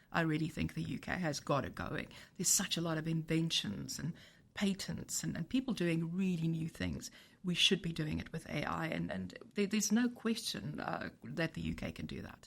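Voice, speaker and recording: A woman speaks in a South African accent. Her pitch is fairly low, with vocal fry. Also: moderate pace. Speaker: tech company CEO. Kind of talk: podcast interview. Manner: halting, many repetitions.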